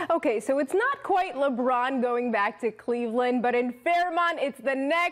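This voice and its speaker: Against noticeable background noise, a woman talks at a fairly slow pace in a high pitch with ordinary pitch variation. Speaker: sports anchor and reporter. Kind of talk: sports news reporting and anchoring.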